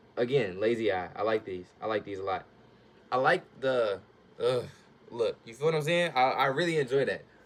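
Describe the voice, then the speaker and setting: The speaker talks at a moderate pace with lively intonation, an animated tone and big swings in loudness. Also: man, medium pitch for a man. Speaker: youtuber, amateur artist. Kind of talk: casual vlog, drawing talk. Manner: casual, animated.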